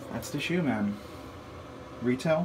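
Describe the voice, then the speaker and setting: A man talks at a moderate pace in a room with audible echo and noticeable background noise. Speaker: sneaker reviewer. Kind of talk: casual product review. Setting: in a bathroom. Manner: murmuring a little; casual, filler-heavy.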